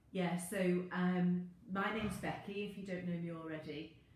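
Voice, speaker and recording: A woman speaks fairly slowly at a fairly low pitch, her intonation fairly even. The room echo is audible, and there is light background noise. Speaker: fitness instructor. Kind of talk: casual live-stream intro chat. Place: garden. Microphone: phone near.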